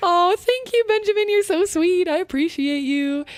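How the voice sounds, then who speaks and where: Recorded with a dry, close sound and no echo, a woman talks at a fairly quick pace. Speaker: content creation coach and streamer. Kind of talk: live stream channel reviews, chatting with chat. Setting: live stream. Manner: fast.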